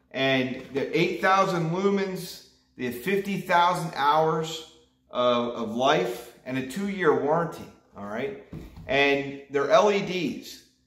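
In a room with audible echo, a man speaks at a very slow pace. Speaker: fishing vlogger. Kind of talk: casual vlog chat.

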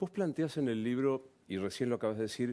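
A man speaks in a Rioplatense accent at a medium pitch. The recording is very clean, with a silent background. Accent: Argentine Spanish (rioplatense). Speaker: TV interviewer. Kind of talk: interview.

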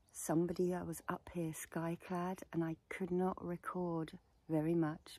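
Somewhat breathy, a woman speaks at a very slow pace in a dry sound with no echo. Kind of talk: casual vlog chat leading into guided meditation. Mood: warm, chatty, amused. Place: open country. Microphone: lapel.

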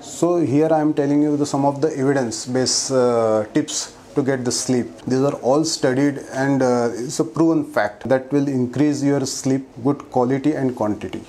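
At a moderate pace and with hardly any pauses, a man talks with ordinary pitch variation and very even loudness. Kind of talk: health explainer talk to camera. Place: office. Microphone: lapel.

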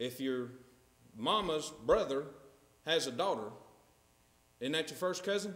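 A man with a North Carolina accent, fairly high in pitch, at a fairly slow pace with long, frequent pauses and audible room echo. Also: lively intonation. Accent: Southern US (North Carolina). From US South. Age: 30s. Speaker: preacher. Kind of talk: sermon. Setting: church. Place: church.

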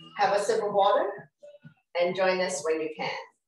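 Audible room echo around a woman talking at a moderate speed. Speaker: fitness instructor. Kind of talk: exercise class instruction. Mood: calm, encouraging. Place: home room. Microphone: camera far.

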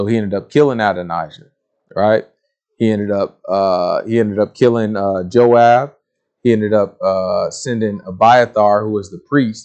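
Against a quiet background, a man with a fairly low pitch speaks at a moderate pace and with fairly even intonation. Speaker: Bible teacher. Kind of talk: sermon. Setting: video recording. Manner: casual. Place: studio.

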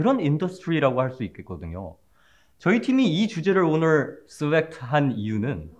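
A man talks at a moderate pace, his pitch swinging very widely, with a quiet background behind him. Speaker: presenter. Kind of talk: comedic mock class presentation. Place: classroom. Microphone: camera far.

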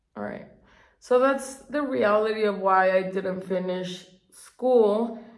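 A woman speaks very slowly at a medium pitch, with ordinary pitch variation and big swings in loudness. There is audible room echo against a quiet background. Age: 30s. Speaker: beauty youtuber. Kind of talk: casual chat. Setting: home, on a couch. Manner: chatty. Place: bathroom. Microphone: phone near.

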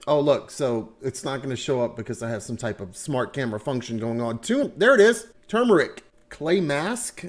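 This man's voice is fairly high and swings very widely in pitch. He talks at a moderate pace. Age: 40s. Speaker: product reviewer. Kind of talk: casual talk to camera. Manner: jokey, casual. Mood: relaxed, amused. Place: home room. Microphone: webcam.

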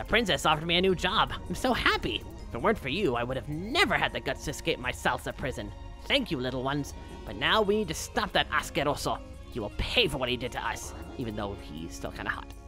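A man's put-on character voice at a very fast pace, with clear music in the background. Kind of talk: comic let's-play dialogue reading. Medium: game stream. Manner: warm, grateful, then vengeful.

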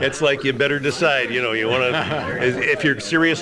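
A man talks with an American accent and fairly even intonation. Noticeable background noise runs underneath. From Detroit area, USA. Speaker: veteran radio personality, forty years on New York radio. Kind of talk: casual interview answer, reminiscing. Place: cafe.

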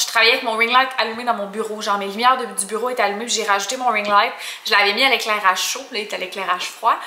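A woman speaks at a very fast pace with fairly even intonation. Room echo is audible. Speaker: vlogger. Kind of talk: casual vlog chat. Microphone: phone near.

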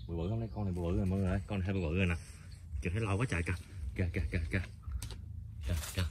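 Low in pitch and very fast, a man talks with a slightly mellow tone and fairly even intonation over faint background noise.

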